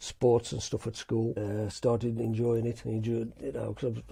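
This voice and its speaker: A man's dark, mellow, somewhat breathy voice at a fairly quick pace. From West Midlands, England (Wolverhampton). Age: 60s. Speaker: former soldier and karate athlete. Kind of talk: casual interview chat.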